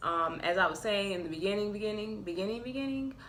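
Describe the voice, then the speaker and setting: Speaking at a very fast pace, a woman with a medium pitch and ordinary pitch variation is heard against audible room echo. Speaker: tarot reader. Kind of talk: tarot reading monologue. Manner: casual, chatty.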